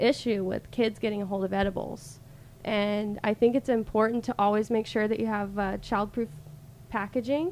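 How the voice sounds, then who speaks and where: In a normal speaking voice, a woman with an American accent talks at a moderate pace, her pitch fairly high and her pitch variation ordinary. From US South, Alabama coast. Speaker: cannabis product sales rep. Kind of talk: casual interview.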